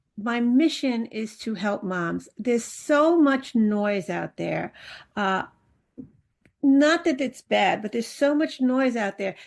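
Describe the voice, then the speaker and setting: A woman speaks very slowly in a fairly high voice with lively intonation. The background is quiet. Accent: New York. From New York City. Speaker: parenting coach. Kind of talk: interview.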